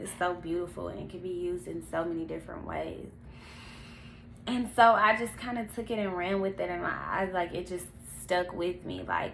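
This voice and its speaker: A woman at a moderate pace, with audible room echo. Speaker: vlogger. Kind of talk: personal testimony.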